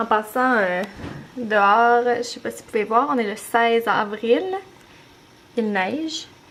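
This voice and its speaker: A woman's fairly high voice in a Beauce Quebec accent, very slow, with noticeable background noise. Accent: Beauce Québécois. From Quebec, Beauce region. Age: 20s. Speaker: mom vlogger. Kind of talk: casual vlog talk to camera. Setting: at home, handheld camera. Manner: hesitant, many fillers.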